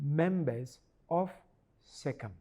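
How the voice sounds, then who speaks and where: The voice has a dark, mellow tone and is somewhat breathy. It moves at a very slow pace with lively intonation. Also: man. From Ghana. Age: 70s. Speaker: archbishop. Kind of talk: interview.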